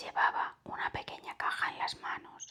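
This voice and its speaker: Someone whispers at a fairly slow pace. The tone is calm. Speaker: ASMR storyteller. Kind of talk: ASMR whispered story reading. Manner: whispered, soft, calm.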